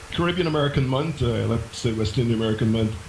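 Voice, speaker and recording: Medium-pitched male voice over noticeable background noise. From Guyana (Georgetown). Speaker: professor. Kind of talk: interview.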